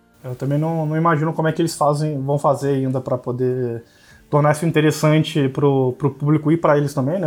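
A man's fairly high voice at a very fast pace with fairly even intonation. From Brazil, Campos dos Goytacazes, interior of Rio de Janeiro state. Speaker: blogger and card game player. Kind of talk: casual chat. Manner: halting.

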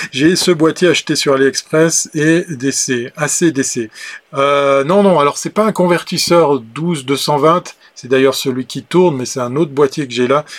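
A man speaks with a fairly high pitch at a very slow pace. His pitch varies an ordinary amount, and the sound is dry and close with no echo. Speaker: livestream show host. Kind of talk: casual live chat with viewers. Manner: chatty, frequent hesitations.

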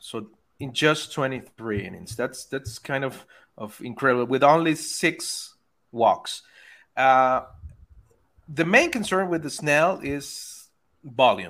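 In a Spanish accent, a man with a fairly high voice speaks very slowly, leaving long, frequent pauses. His intonation is lively and his loudness swings widely, on a very clean recording with a silent background. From Venezuela. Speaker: baseball analytics writer. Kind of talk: casual interview chat. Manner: halting, many repeated words.

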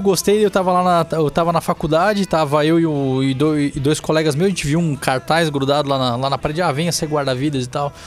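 A man with an unremarkable speaking voice talks at a fairly quick pace, with hardly any pauses. His pitch is fairly high, with ordinary pitch variation. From Santa Catarina, Brazil (Balneário Camboriú). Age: 30s. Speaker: city councillor. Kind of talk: podcast interview.

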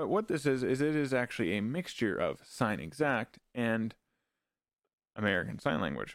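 A man with a Canadian accent, medium pitch, lively intonation, vocal fry, very even loudness and a moderate pace, on a very clean recording with a silent background. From Canada. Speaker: parenting podcast host. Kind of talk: educational solo podcast. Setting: home studio, live stream. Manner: halting.

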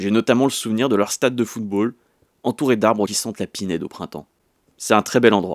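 Recorded very cleanly against a silent background, in a dry, close sound with no echo, a man with an unremarkable speaking voice talks at a fairly quick pace in a fairly low pitch with ordinary pitch variation. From France, Sarthe (near Le Mans). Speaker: documentary podcast host. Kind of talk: scripted narration.

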